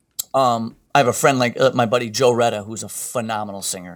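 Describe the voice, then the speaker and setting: A plain, everyday voice from a man with an American accent, medium in pitch, at a fairly quick pace with fairly even intonation, on a very clean recording over a silent background. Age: 50s. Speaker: rock singer. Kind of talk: casual chat.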